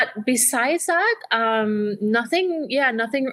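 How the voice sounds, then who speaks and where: A woman speaks with a bright, sharp tone and lively intonation on a very clean recording with a silent background. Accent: American. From Trinidad and Tobago. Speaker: airline pilot. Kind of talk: interview.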